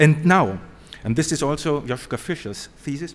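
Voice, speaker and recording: The speaker is a man with a German accent. His pitch is fairly high. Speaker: professor. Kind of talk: conference talk. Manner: formal.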